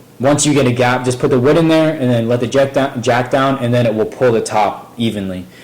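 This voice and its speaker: A man with a medium pitch talks amid noticeable background noise and audible echo from the room. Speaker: DIY car repair youtuber. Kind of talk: tutorial. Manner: fast; hesitant, many fillers.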